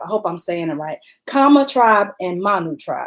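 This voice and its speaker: In a Southern US accent, a woman with a fairly high pitch talks at a moderate pace, her pitch swinging very widely. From Alabama. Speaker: YouTuber reviewing a TV show while eating. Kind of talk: casual live-stream recap.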